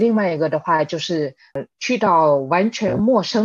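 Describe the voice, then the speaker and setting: A woman speaks in a plain, everyday voice, fairly low-pitched for a woman, at a fairly slow pace. Her pitch variation is ordinary, and the background is quiet. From Spain (Madrid), second-generation Chinese. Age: 30s. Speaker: e-commerce worker, immigrant guest. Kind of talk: casual interview chat.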